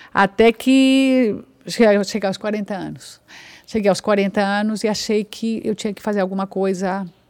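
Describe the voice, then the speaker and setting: A woman with a Spanish accent speaks at a fairly slow pace with fairly even intonation. Her loudness swings widely. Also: medium pitch for a woman. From Colombia. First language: Spanish (speaking Portuguese). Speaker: actress. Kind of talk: casual chat.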